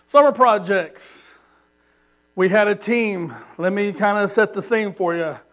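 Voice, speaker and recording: A loud, high-pitched man with a Southern US accent and long, frequent pauses. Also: ordinary pitch variation, fairly slow pace. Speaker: missionary preacher. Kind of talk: sermon. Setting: church.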